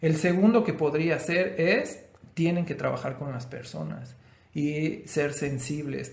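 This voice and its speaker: There is audible room echo as a man with a fairly high voice speaks at a fairly slow pace with ordinary pitch variation. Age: 30s. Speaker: podcast co-host. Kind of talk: casual chat.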